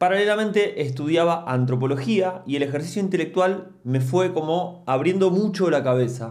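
Keeping his loudness very even and barely pausing, a man speaks at a moderate pace and a high pitch with ordinary pitch variation. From Argentina, Mar del Plata; Argentina. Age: 40s. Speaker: musician and anthropologist, YouTuber; youtuber, podcaster. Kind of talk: casual monologue to camera. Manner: hesitant, many fillers. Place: home room. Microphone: studio mic.

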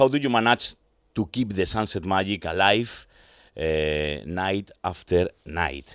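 A man with a Spanish accent, very deep and low in pitch, with lively intonation at a very slow pace, a dry sound with no echo and a quiet background. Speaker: radio host. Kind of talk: interview. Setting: studio. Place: studio. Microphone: studio mic.

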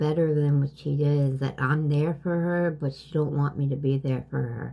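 A woman speaks at a fairly slow pace in a very deep, low voice, dark and mellow in tone. She sounds somewhat breathy, with fairly even intonation. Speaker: vlogger. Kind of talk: casual vlog chat. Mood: worried, sad. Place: home room. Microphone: phone near.

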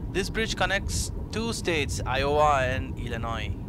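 Over noticeable background noise, a man speaks at a fairly slow pace with a dry sound and no echo. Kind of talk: casual vlog chat. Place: car. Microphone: phone near.

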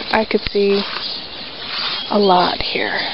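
The delivery is very slow, the sound dry with no echo, and background noise is noticeable. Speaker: narrator touring property. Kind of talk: casual vlog chat. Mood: wistful, a bit sad. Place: farm machine. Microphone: phone near.

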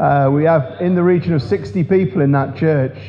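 Light background noise accompanies a man speaking at a fairly slow pace. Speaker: preacher. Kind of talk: sermon. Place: church.

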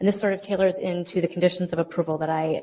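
Words come at a very fast pace with fairly even intonation. The tone is dark and mellow. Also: woman. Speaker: city planning staff. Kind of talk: staff presentation. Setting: public meeting.

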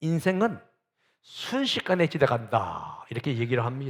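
A man's fairly high voice at a moderate pace, on a very clean recording with a silent background. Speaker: pastor. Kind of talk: sermon.

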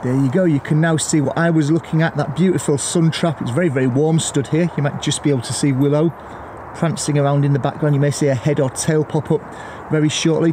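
Noticeable background noise fills the clip. A man speaks very fast with fairly even intonation. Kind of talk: tutorial. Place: forest.

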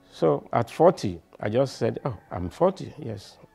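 Faint music sits in the background as a man speaks. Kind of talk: interview answer. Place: home room. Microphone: lapel.

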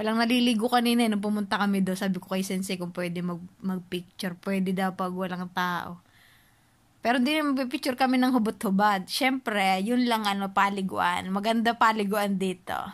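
Her intonation fairly even, a woman keeps to a moderate pace. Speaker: traveler vlogger. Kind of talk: casual vlog chat. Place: home room. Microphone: phone near.

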